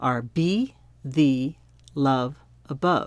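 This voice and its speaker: A woman with an American accent in a very clean recording with a silent background. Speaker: hymn music teacher. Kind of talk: tutorial.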